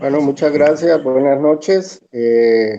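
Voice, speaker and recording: A man speaks at a very slow pace with a dark, mellow tone. His pitch variation is ordinary. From Honduras, Tegucigalpa. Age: 60s. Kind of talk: testimony.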